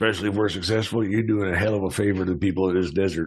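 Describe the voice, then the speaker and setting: Putting on a raspy character voice, a man talks at a very fast pace with fairly low pitch and fairly even intonation. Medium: actual play. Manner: hesitant, folksy.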